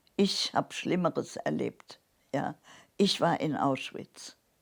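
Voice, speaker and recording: A woman's lively intonation on a very clean recording with a silent background. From Saarland, Germany. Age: 80s+. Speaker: Holocaust survivor. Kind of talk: interview answer.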